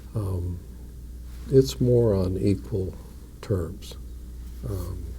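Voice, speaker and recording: A quiet man with an Upper Midwest accent speaks at a very slow pace in a very deep, low pitch, with a dark, mellow tone and vocal fry. His pitch swings very widely, and there is audible room echo. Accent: Upper Midwest American. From North Dakota. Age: 60s. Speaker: mayor. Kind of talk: interview. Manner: measured.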